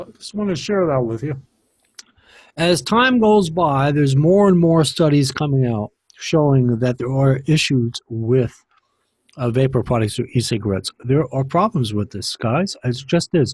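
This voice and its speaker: A man's fairly high, somewhat breathy voice at a moderate pace, in a very clean recording with a silent background. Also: lively intonation. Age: 60s. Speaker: vaping commentary vlogger. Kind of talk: monologue vlog. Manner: halting, many fillers; heated ranting.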